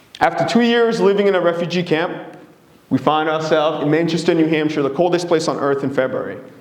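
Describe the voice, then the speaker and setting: Noticeable background noise and audible room echo surround a man's voice. He speaks at a very fast pace in a high pitch with ordinary pitch variation. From Democratic Republic of Congo. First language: Swahili, Lingala and French. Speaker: presenter, consultant. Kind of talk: presentation talk.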